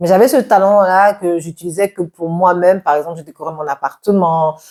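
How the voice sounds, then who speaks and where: A woman's fairly low-pitched, ordinary speaking voice at a fairly quick pace, with ordinary pitch variation, in a dry, close sound with no echo. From Cameroon. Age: 40s. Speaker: entrepreneur. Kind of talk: interview.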